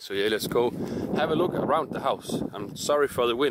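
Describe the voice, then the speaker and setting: A man speaks at a moderate pace with light background noise and a dry sound with no echo. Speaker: urban explorer vlogger. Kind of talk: casual vlog chat. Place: open country. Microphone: phone near.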